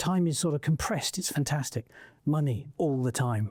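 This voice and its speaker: On a very clean recording with a silent background, a man speaks at a very fast pace in a somewhat breathy, dark and mellow tone with ordinary pitch variation. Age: 60s. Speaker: entrepreneur and investor. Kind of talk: interview conversation. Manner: halting, many fillers.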